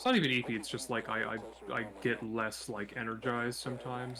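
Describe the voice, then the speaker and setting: A man talks quietly in a medium-pitched voice at a fairly quick pace. Noticeable background noise is present. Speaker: guest streamer. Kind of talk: casual chat. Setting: live stream. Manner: varies between loud and quiet. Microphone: quiet on the capture.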